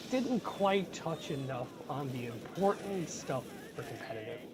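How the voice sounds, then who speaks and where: A moderate pace with noticeable background noise. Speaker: gaming commentary YouTuber. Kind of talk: casual talk to camera. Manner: frustrated, ranting.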